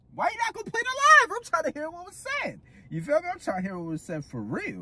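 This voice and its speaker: A man talks at a very fast pace, his loudness swinging widely. Noticeable background noise runs behind him. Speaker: reaction video host. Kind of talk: casual chat. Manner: halting.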